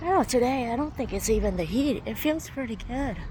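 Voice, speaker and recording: In a room with audible echo, a woman speaks at a moderate pace in a high voice. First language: not English. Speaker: vlogger. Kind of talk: casual vlog monologue.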